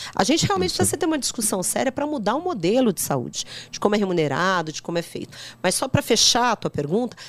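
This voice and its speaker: Very wide pitch swings at a very fast pace. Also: woman. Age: 50s. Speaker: politician. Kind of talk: podcast interview.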